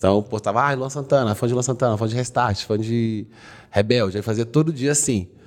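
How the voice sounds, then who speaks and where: Fairly quick pace with ordinary pitch variation. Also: man. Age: 20s. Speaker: comedy content creator. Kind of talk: casual chat.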